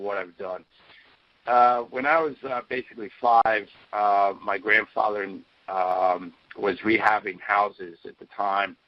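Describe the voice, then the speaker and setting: An ordinary speaking voice with an American accent moves at a fairly slow pace, with ordinary pitch variation and big swings in loudness. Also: man. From US Northeast, Philadelphia area. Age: 50s. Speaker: inventor and energy researcher. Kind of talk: interview. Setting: conference call.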